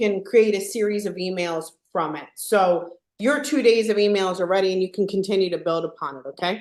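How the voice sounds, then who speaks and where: With a Philadelphia accent, a woman talks at a fairly quick pace and medium pitch, her pitch varying in an ordinary way while her loudness swings widely. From Philadelphia, US. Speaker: software trainer. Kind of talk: live tutorial webinar.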